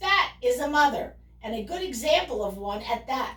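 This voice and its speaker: A woman adopts a high-pitched character voice and keeps a moderate pace. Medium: read story. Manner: commanding, theatrical.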